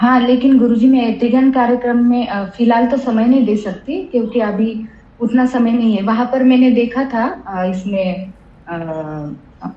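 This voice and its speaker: A woman with a Marathi accent speaks at a high pitch with ordinary variation. Noticeable background noise is present. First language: Marathi (speaking Hindi). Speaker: spiritual seeker asking question. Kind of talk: satsang Q&A. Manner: halting.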